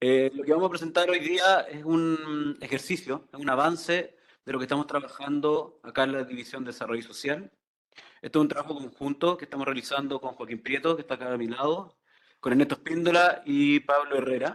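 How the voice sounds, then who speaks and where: A man with a fairly high pitch and fairly even intonation at a fairly quick pace. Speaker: economist presenter. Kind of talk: conference presentation. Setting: conference hall with audience. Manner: fast.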